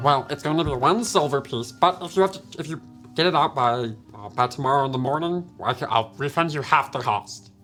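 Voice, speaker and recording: Over clear background music, a man in a put-on character voice talks at a fairly quick pace, fairly high in pitch, his loudness swinging widely. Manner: sleepy.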